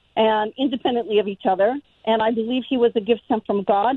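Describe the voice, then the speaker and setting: A plain, everyday voice from a woman with an American accent, fairly high in pitch, with ordinary pitch variation and a fairly quick pace. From Denver, Colorado. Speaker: caller. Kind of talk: casual chat.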